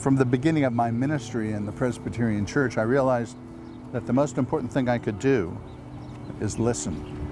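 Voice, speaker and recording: A man at a medium pitch and a fairly quick pace, with ordinary pitch variation and noticeable background noise. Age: 70s. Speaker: life coach and retired minister. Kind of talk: promotional self-introduction.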